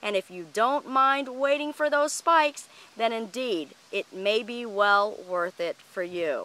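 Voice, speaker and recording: Speaking fairly slowly with lively intonation, a woman has a fairly high voice and a bright, sharp tone in a dry sound with no echo. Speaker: orchid grower and video host; video host. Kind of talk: tutorial. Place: garden. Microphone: phone near.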